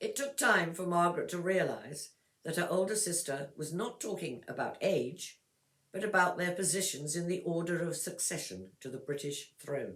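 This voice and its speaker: This woman's pitch is fairly low, with ordinary variation. Her pace is moderate. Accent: English. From England. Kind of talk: text read-aloud for pronunciation practice. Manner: clear, measured.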